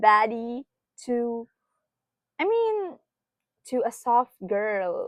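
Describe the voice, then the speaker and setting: Lively intonation in a woman's high voice. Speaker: tarot reader. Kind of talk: tarot reading. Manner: soft-spoken, reflective.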